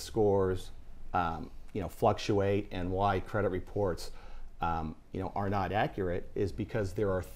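A man speaks at a moderate pace in a plain, everyday voice, with ordinary pitch variation. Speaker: guest. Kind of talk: interview answer. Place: studio. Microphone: lapel.

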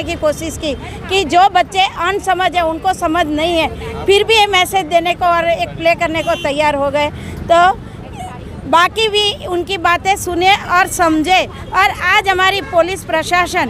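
Over crowd noise in the background, a woman with an extremely high voice speaks very slowly with fairly even intonation, the sound dry with no echo. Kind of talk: interview answer. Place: street.

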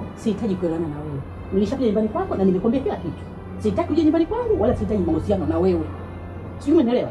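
Clear music plays in the background of this very fast delivery. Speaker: drama actress. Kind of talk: acted dramatic dialogue, argument. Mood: angry, dismissive. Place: home room.

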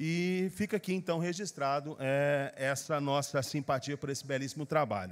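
At a moderate pace and fairly high pitch, a man speaks with hardly any pauses and ordinary pitch variation. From Brazil. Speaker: city councillor. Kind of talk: formal council speech. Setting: council chamber. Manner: formal, with frequent hesitations; forceful. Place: hall. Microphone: podium.

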